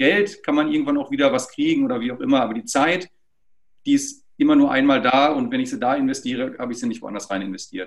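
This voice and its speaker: The pace is very fast as a man speaks. Behind him, the background stays quiet. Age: 40s. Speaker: social network project representative; interview guest. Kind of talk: interview. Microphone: video call.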